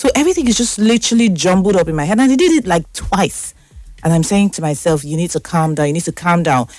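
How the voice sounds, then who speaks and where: A woman talks at a very fast pace in a fairly low pitch for a woman. Her intonation is lively and her tone animated. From Nigeria. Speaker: talk show host. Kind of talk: casual monologue.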